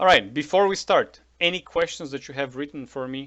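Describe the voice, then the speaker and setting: The speaker is a man. Ordinary pitch variation runs through his speech. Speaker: poker coach. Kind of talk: coaching session. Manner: fast.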